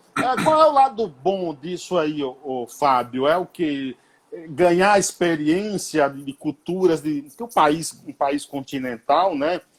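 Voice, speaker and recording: This man talks at a very slow pace in a fairly high pitch. His intonation is lively. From Bahia, Brazil. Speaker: radio host. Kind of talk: interview. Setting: remote call from home. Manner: casual.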